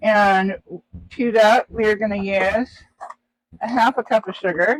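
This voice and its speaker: A high-pitched male voice with fairly even intonation and a dry, close sound free of echo. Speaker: livestream host making drinks. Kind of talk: casual cooking livestream. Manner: casual, many fillers.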